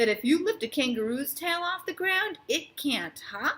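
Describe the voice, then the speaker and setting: Putting on a character voice, a woman pushes her pitch extremely high with very wide pitch swings. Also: moderate pace. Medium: read story. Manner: friendly, easygoing.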